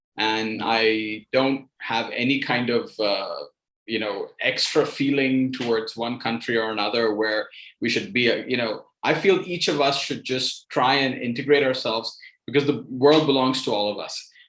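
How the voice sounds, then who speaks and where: A man with an American accent uses a plain, everyday voice at medium pitch, a moderate pace, and ordinary pitch variation. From New York City, raised by Indian parents. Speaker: writer. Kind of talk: interview.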